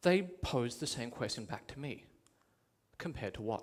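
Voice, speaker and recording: A man's intonation is lively, and he keeps to a moderate pace. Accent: Australian. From Australia. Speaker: public education coordinator. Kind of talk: TEDx talk.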